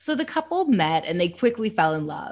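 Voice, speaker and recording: A woman at medium pitch and moderate pace, with a Canadian accent, on a very clean recording with a silent background. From Canada. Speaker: true crime podcast host. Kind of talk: casual chat with case narration.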